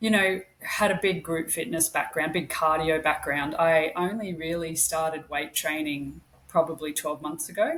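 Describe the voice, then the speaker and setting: A woman with an Australian accent speaks at a fairly low pitch. Her pace is fairly slow and her intonation fairly even. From Australia, Queensland (Brisbane). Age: 40s. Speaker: podcast co-host, registered nurse. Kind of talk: casual interview chat.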